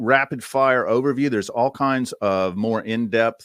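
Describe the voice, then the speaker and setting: Speaking with a Southern US accent, a man keeps a moderate pace and ordinary pitch variation on a very clean recording with a silent background. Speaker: AI media commentator, podcast host. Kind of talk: conference presentation. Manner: casual, conversational with fillers.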